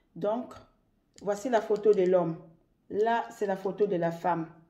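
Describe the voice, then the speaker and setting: Woman with a dark, mellow tone, medium pitch, and ordinary pitch variation. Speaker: love ritual tips video maker. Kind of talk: tutorial.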